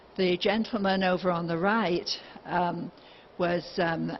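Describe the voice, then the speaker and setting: A woman speaks at a fairly slow pace with fairly even intonation. Her voice is somewhat breathy and fairly low. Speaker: remote viewer. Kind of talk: lecture. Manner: halting.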